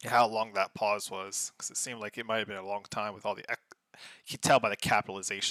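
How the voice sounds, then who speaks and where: Soft-spoken, a man with a fairly low pitch and a bright, sharp tone talks at a fairly quick pace, the sound dry and close with no echo on a very clean recording with a silent background. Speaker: game commentator. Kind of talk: casual live commentary. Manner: animated.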